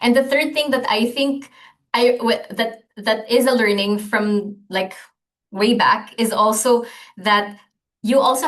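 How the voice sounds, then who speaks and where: A woman with a Filipino accent, fairly high-pitched, at a moderate pace with fairly even intonation. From Philippines, Manila. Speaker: gender and climate programme coordinator. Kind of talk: podcast interview. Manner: halting, many fillers and restarts.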